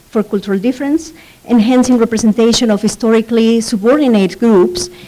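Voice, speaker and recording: The speaker is a woman. There is noticeable noise behind her. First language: Spanish. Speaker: professor. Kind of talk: conference presentation. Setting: conference panel. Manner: reading from notes, frequent fillers.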